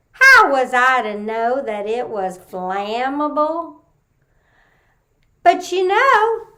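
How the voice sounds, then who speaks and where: With a Texas accent, a woman speaks very slowly in a raised, projected voice, her bright, sharp tone rising and falling in very wide pitch swings. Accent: Texas twang. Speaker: storyteller. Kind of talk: folksy Southern vernacular.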